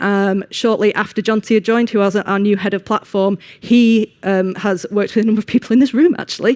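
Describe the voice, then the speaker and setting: A woman with a Manchester accent speaks at medium pitch and a fairly quick pace. The recording is very clean, with a silent background and a dry, close sound with no echo. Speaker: engineering manager, conference speaker. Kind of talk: conference talk. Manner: hesitant with frequent ums.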